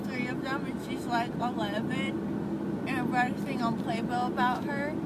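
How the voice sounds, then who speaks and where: A woman's voice comes through dry with no echo over loud background noise. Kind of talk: casual vlog chat. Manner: drowsy, slurred post-surgery speech. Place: car.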